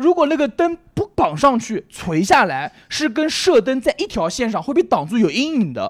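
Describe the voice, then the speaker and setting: The speech moves at a moderate pace with hardly any pauses. The recording is very clean, with a silent background. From Nanjing, China. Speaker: comedy club owner and stand-up comedian. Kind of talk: casual chat.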